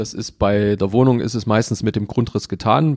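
The recording is very clean with a silent background, carrying a dark, mellow tone. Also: man, dry, close sound with no echo. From Saxony, Germany (Leipzig). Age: 40s. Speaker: mortgage broker. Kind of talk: interview.

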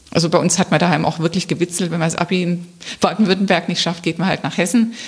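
A woman speaks fairly fast while noticeable background noise runs underneath. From Swabia (Remstal near Stuttgart), Germany. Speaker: local politician, council candidate. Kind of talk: interview. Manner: hesitant, many fillers.

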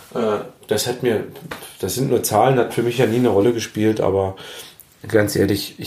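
The speech has ordinary pitch variation, heard over noticeable background noise. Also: man. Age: 40s. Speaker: cooking podcaster. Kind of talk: casual cooking monologue. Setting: home kitchen.

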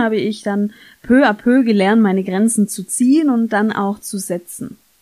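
A woman with a dark, mellow tone speaks at a fairly high pitch and a fairly slow pace. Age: 30s. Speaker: podcast host, former social worker. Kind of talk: solo podcast monologue.

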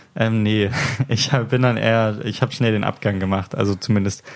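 Against noticeable background noise, a man with a fairly low pitch speaks at a moderate pace, his intonation fairly even. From Hamburg, northern Germany. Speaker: podcast host. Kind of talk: casual chat. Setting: home recording at a friend's place.

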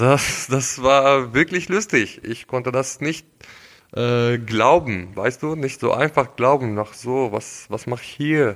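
A man at a medium pitch and very slow pace, with ordinary pitch variation. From Syria. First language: Arabic (speaking German). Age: 20s. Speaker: engineering student, refugee. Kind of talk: casual interview. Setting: at the host's home.

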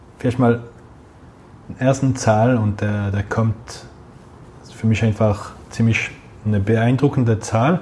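There is noticeable background noise as a man speaks at a very slow pace. His pitch is medium. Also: long, frequent pauses. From Geneva, French-speaking Switzerland. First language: French (speaking German). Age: 30s. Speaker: head of a retail loyalty program. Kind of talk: interview.

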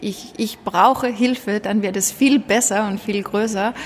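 A woman with a Danish accent speaks at a fairly slow pace and medium pitch against noticeable background noise. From Denmark. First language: Danish (speaking German). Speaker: social entrepreneur, school founder. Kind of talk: interview. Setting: glass meeting room in coworking space. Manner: hesitant, many fillers.

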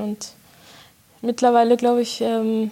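Noticeable background noise sits behind this clip. A woman talks at a moderate pace in a fairly high voice. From Germany, Bochum (Ruhr area). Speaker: concert pianist. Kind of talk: interview. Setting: chamber music hall.

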